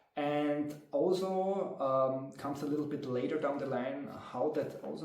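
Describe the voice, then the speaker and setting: Music plays in the background as a man with a German accent talks at a moderate pace. His pitch varies in an ordinary way, and the room echo is audible. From Austria. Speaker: tabletop game master and video creator. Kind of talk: casual monologue to camera. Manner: talkative, filler-heavy. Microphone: low quality recording.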